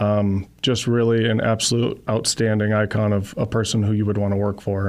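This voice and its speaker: Speaking with an American accent, a man uses a fairly low voice at a fairly quick pace. His intonation is monotone and flat. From US South and Wisconsin. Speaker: landscaping company representative. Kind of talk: radio interview.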